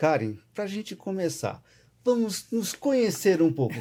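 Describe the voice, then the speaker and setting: A man with a dark, mellow tone speaks at a moderate pace. His pitch swings very widely. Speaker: podcast host, lawyer. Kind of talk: casual podcast chat.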